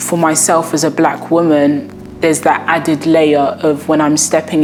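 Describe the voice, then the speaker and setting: Over noticeable background noise, a woman with a London accent and a very deep, low pitch speaks at a moderate pace with monotone, flat intonation. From South London. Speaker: intern and student. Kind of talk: testimonial interview. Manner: formal.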